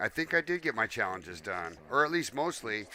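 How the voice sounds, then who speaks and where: Speaking at a moderate pace, a man with a fairly high pitch shows vocal fry and a bright, sharp tone, in a dry, close recording with no echo. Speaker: gaming streamer. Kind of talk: live game commentary. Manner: casual, animated.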